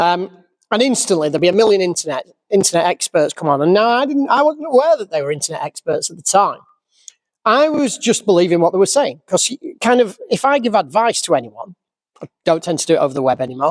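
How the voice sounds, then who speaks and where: A man with a Yorkshire accent, high-pitched, with very wide pitch swings, a very fast pace, and a dry, close sound with no echo. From Yorkshire, England. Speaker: classic car restorer. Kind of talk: casual vlog rant. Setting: workshop. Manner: animated. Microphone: crackling microphone.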